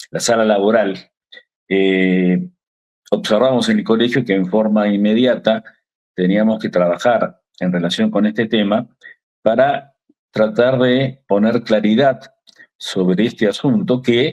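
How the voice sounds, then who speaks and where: The speaker has an Argentine accent. Long pauses come often. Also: man, medium pitch for a man, ordinary pitch variation, fairly slow pace. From Argentina. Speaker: lawyer, legal association secretary. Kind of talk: TV interview. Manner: hesitant, many fillers.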